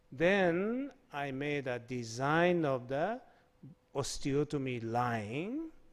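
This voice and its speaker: A man speaks very slowly at a fairly high pitch. His intonation is lively, and the room echo is audible. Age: 70s. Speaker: surgeon. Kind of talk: conference presentation. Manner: halting.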